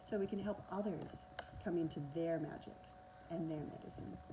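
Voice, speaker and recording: With an Australian accent, a woman speaks fairly quickly at a fairly low pitch with fairly even intonation, and room echo is audible. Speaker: energy healer and coach. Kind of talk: masterclass talk. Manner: fast.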